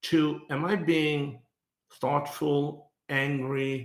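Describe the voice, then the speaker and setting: In a non-native accent, a man speaks very slowly at a fairly high pitch, with audible room echo. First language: not English. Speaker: business thought leader, podcast co-host. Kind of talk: casual podcast conversation.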